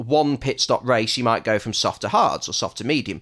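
With lively intonation, a man speaks in an English accent. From England. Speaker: podcast host. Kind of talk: casual chat.

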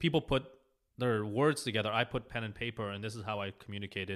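A man's medium-pitched voice with an Israeli accent and a bright, sharp tone, in a very clean recording with a silent background. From Israel, then Los Angeles from age 7. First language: Hebrew. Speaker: architect. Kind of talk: casual interview. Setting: in a house, in person.

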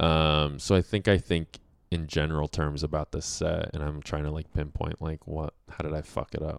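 A man's very deep, low voice with an American accent, monotone and flat, at a moderate pace, in a very clean recording with a silent background and a dry, close sound with no echo. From Colorado. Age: 30s. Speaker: improv comedian. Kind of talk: casual chat.

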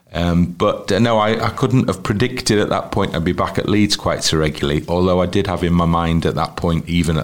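In a North Welsh accent, a man with a very deep, low pitch talks fairly quickly, with ordinary pitch variation. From North Wales, Wrexham. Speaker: football commentator and broadcaster. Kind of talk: interview. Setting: at his home.

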